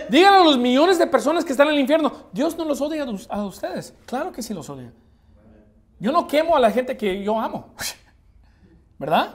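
A man talks with lively intonation at an extremely high pitch and a fairly quick pace, leaving long, frequent pauses. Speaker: preacher. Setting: church. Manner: forceful, emphatic, confrontational, pounding repetition, occasional halting restarts. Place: church. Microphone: podium.

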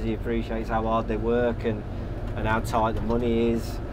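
A man talks at a fairly quick pace while noticeable background noise runs underneath. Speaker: interviewee driving tractor. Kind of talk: interview answer. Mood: relaxed, friendly. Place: farm machine. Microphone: lapel.

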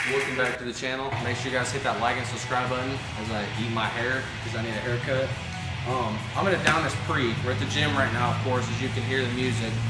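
The speech is very fast. Music plays in the background. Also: man. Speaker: fitness vlogger. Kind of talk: casual vlog chat. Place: gym.

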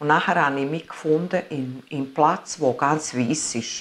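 A woman speaks at a very slow pace. Her very deep, low pitch is laced with vocal fry. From Italy. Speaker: near-death experience witness; interviewee. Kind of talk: interview testimony. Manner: halting. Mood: earnest, emotional storytelling. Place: home room.

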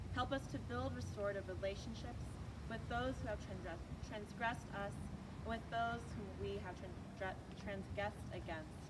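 Over loud background noise, a woman speaks with long, frequent pauses. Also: moderate pace. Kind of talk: read prayer of intercession. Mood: solemn, earnest. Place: street. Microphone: camera far.

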